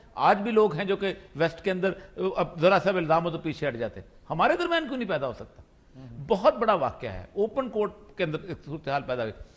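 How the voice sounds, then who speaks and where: A man speaks in a high voice with an animated tone at a moderate pace, with very wide pitch swings. His loudness rises and falls sharply, and there is noticeable background noise. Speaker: political talk show panelist. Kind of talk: talk show debate.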